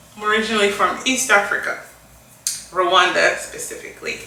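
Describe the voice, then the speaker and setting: A woman speaks with audible room echo around her voice. Noticeable background noise runs underneath. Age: 40s. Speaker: beauty vlogger. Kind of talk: casual chat while doing makeup.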